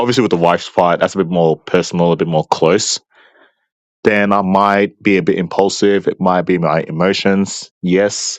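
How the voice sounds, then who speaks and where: At a moderate pace, a man with an Australian accent speaks in a very deep, low pitch. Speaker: debate opponent. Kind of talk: debate.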